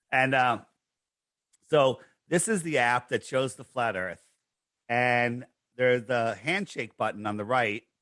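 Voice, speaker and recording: A man speaks at a medium pitch and a fairly slow pace, with long, frequent pauses. His tone is bright and sharp, with ordinary pitch variation. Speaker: podcast guest promoting flat earth app. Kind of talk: casual interview.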